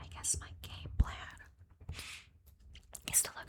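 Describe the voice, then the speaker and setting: A woman is whispering. Noticeable background noise runs throughout. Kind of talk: ASMR card game gameplay commentary. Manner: whispered, soft-spoken.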